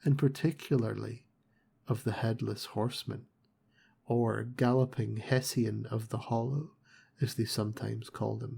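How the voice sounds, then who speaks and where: Soft-spoken and dark, mellow in tone, a man at medium pitch uses vocal fry and fairly even intonation, leaving long, frequent pauses. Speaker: audiobook narrator. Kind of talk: reading aloud. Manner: slow.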